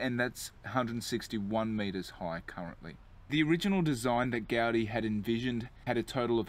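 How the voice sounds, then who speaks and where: A man talks at a medium speed, his pitch moving in an ordinary way. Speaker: tour guide. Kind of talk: walking tour commentary. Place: street.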